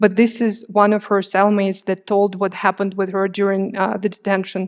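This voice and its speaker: The delivery is fairly quick and monotone, with flat intonation. The background is quiet. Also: woman. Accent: Eastern European. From Crimea, Ukraine. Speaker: journalist. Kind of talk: public talk with slides. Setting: stage with audience.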